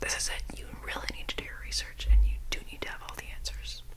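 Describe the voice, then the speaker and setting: A woman is whispering. She goes at a very fast pace. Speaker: ASMR creator. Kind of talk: ASMR quote reading. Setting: studio, close to binaural microphone. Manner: whispered, close-mic. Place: home room. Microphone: studio mic.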